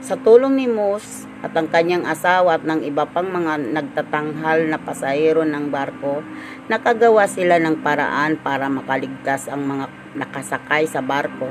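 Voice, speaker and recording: Over noticeable background noise, a woman with a very deep, low pitch talks at a moderate pace with lively intonation. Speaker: devotional leader. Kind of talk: daily devotion. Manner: halting.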